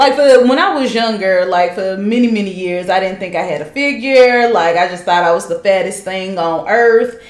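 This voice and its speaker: Audible room echo surrounds a woman speaking fairly quickly with an American accent. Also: ordinary pitch variation. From Charlotte, North Carolina. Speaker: guest, host's cousin. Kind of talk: casual chat. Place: home room.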